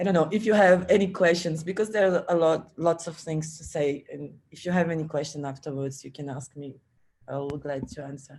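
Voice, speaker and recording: Someone speaks in a Portuguese accent. The pace is fairly quick. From Brazil. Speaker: film festival organizer. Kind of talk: panel discussion. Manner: halting.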